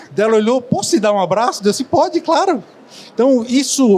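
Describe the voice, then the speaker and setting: Through noticeable background noise, a man with a Florianópolis accent speaks at an extremely high pitch and a fairly quick pace. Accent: Florianópolis accent, fast. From Florianópolis, southern Brazil. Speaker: hotel executive. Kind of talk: panel discussion. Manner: fast.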